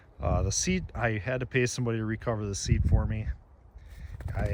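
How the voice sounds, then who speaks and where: Audible room echo is heard as this man talks at a very fast pace. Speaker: snowmobile restorer and collector. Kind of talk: casual show-and-tell walkthrough. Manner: halting, with many fillers.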